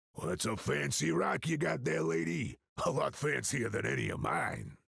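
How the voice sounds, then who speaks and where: A man's put-on character voice, raspy and very deep in pitch, with very wide pitch swings at a moderate pace. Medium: video game. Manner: folksy, gruff.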